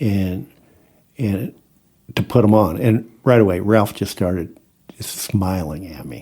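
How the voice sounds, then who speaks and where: A man with an American accent speaks at a fairly slow pace in a fairly low pitch, his dark, mellow tone carrying fairly even intonation. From US Midwest, Iowa. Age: 60s. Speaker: farmer. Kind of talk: casual interview storytelling. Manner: halting, many repeated words.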